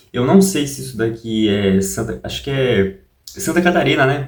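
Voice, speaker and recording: A man speaks in a somewhat breathy voice with very wide pitch swings. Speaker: YouTuber. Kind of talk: casual vlog talk. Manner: soft-spoken; halting.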